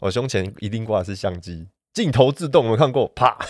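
The man's voice sits at a medium pitch and moves at a fairly quick pace. The recording is very clean, with a silent background. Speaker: mountain photographer. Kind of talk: casual interview.

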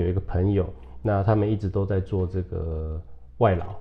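A man with a fairly low pitch and a somewhat breathy voice talks at a fairly quick pace. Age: 40s. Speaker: spiritual hall leader and entrepreneur. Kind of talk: casual interview.

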